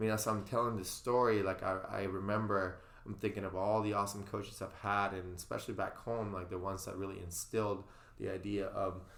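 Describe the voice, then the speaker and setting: Against audible room echo, a man with a fairly low pitch speaks at a fairly quick pace in a monotone, flat intonation. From Venezuela. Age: 30s. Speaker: swim and CrossFit coach. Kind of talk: podcast interview. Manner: halting.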